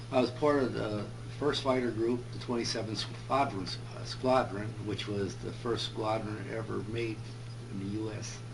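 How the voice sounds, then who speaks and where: A man with a Midwestern American accent speaks at a moderate pace over noticeable background noise. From Joliet, Illinois, USA. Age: 80s+. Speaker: World War II veteran, P-38 crew chief. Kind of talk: interview answer.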